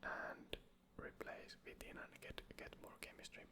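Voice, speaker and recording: Someone whispers at a very slow pace in a relaxed tone. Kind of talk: casual gaming commentary, draft challenge talk to camera. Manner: whispered, relaxed.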